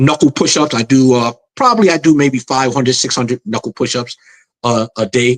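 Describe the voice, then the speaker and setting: Here a man with a New York accent talks at a fairly quick pace and a medium pitch. His pitch varies in an ordinary way, and the sound is dry and close with no echo. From New York City. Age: 60s. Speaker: martial arts master and magazine founder. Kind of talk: interview. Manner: halting, repetitive.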